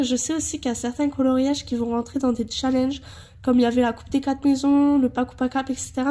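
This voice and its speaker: A woman with a high voice talks at a fairly quick pace in a dark, mellow tone. Her intonation is monotone and flat. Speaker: colouring hobbyist. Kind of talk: casual talk to camera.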